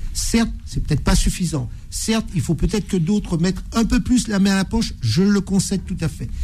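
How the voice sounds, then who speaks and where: Noticeable background noise sits behind a man with a high pitch and ordinary pitch variation. He keeps a moderate pace with hardly any pauses. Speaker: lawyer, debate panelist. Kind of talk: radio panel debate. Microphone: microphone badly positioned at first.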